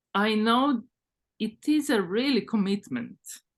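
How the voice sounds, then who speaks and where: Against a quiet background, a woman speaks very slowly at a fairly high pitch. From former Yugoslavia. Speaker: author, dancer. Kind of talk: interview conversation. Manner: halting, with repetitions and fillers.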